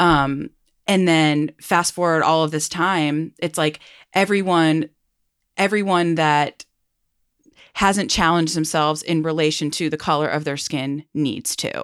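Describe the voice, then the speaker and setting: A woman's very deep, low voice with fairly even intonation, dry and close with no echo, on a very clean recording against a silent background. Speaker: therapist and podcast host. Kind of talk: casual chat. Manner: uses many minimal encouragers.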